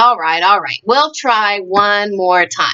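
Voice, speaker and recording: The woman's delivery is fairly slow. She uses a put-on character voice pitched in the medium range. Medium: read story.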